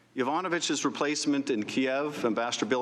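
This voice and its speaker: A man talks at a fairly quick pace with ordinary pitch variation. His is an unremarkable speaking voice. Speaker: congressman. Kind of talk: formal opening statement at hearing.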